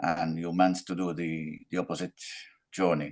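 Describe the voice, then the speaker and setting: Against a quiet background, a man with a very deep, low pitch speaks at a moderate pace in a non-native accent. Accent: foreign. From Belgium. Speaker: roundtable panelist. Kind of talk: casual discussion. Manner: halting, repeats words.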